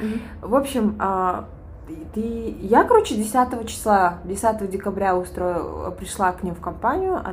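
Amid noticeable background noise, a woman talks rather slowly. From Kyrgyzstan. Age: 20s. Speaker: podcast co-host. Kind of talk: casual chat.

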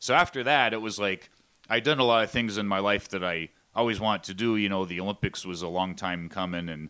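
In a very clean recording with a silent background, a man with a Pennsylvania accent talks at a very fast pace. His very deep, low voice has a bright, sharp tone and ordinary pitch variation. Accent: Pennsylvania American. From Pennsylvania coal region (Shamokin). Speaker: pro wrestling ring announcer. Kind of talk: casual interview.

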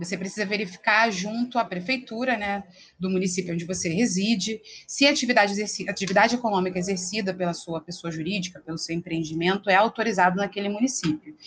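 This woman talks at a very fast pace, her medium pitch showing ordinary variation. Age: 30s. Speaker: lawyer. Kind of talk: interview explaining legal topics.

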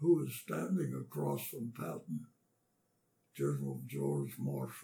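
A man's dark, mellow voice with vocal fry and lively intonation, in an American accent. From western Pennsylvania. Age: 80s+. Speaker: war veteran. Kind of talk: oral history interview. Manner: halting.

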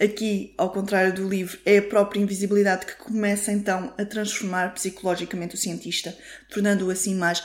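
A woman speaks with a European Portuguese accent. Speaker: podcast host. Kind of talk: solo film review monologue.

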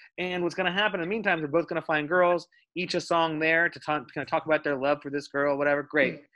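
Man with an American accent, fairly high pitch, bright, sharp tone, very fast pace and fairly even intonation. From Dallas, Texas. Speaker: film producer. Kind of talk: casual chat. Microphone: bad internet connection.

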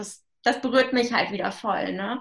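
The pace is moderate as a woman talks. Her pitch rises and falls in an ordinary way. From Germany, northern Hesse. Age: 20s. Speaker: young mother on parental leave. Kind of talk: casual interview.

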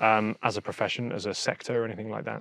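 A man with medium pitch in a southern English accent, dry and close with no echo. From Hampshire, southern England. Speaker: podcast host. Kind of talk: interview. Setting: outdoors.

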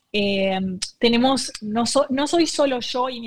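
A woman's somewhat breathy voice comes through dry and close, with no echo. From Argentina. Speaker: nonprofit co-founder. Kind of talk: interview. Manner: halting.

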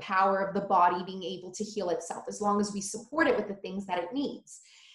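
A woman talks at a very fast pace with a medium pitch and a somewhat breathy sound. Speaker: holistic nutritionist. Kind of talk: casual interview chat.

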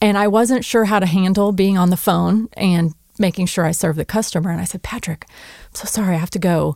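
At a fairly quick pace, a woman with an unremarkable speaking voice speaks in a medium pitch with ordinary pitch variation, in a very clean recording with a silent background and a dry, close sound with no echo. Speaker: podcast co-host. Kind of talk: scripted intro then interview.

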